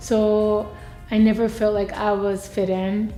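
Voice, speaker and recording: In a room with audible echo, a woman speaks at medium pitch with a dark, mellow tone and monotone, flat intonation. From Japan. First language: Japanese. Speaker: university student. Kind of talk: interview. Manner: halting.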